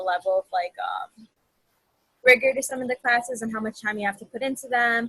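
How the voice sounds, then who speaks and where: With an American accent, a woman speaks in an ordinary speaking voice at a fairly high pitch. The sound is dry and close, with no echo. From Chicago, South Side. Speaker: panelist, psychology graduate. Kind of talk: panel discussion.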